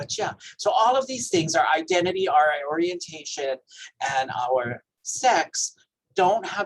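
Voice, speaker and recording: In a Hawaiian accent, a man speaks at a high pitch and moderate pace with ordinary pitch variation, the sound dry and close with no echo. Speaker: health educator. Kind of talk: training presentation.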